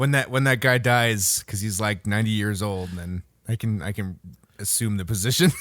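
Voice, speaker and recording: A man speaks at a fairly low pitch and a moderate pace. His pitch varies in an ordinary way. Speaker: gaming podcast co-host. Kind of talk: casual chat.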